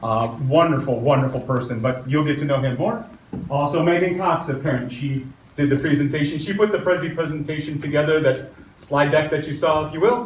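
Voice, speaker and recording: With an American accent, a man at fairly high pitch with ordinary variation talks at a fairly quick pace, with audible room echo and noticeable background noise. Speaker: community meeting moderator. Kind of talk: public meeting introductions and Q&A moderation.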